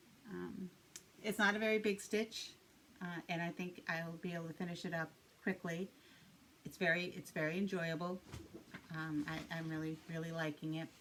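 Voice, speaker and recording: With a Boston accent, a woman speaks in a fairly low pitch and fairly even intonation, pausing long and often. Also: moderate pace. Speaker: cross-stitch video blogger. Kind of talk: casual chat. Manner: hesitant, many fillers and repeats.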